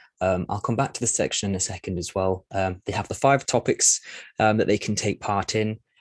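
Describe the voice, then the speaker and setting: Over a quiet background, a man with a fairly low pitch talks at a very fast pace, the sound dry and close with no echo. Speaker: platform staff presenting a demo. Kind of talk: webinar walkthrough. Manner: hesitant, many fillers.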